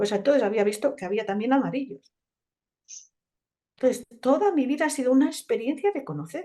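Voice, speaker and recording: A woman's dark, mellow, high-pitched voice at a fairly quick pace, with very wide pitch swings and long, frequent pauses. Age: 60s. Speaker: naturopath. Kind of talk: conference talk.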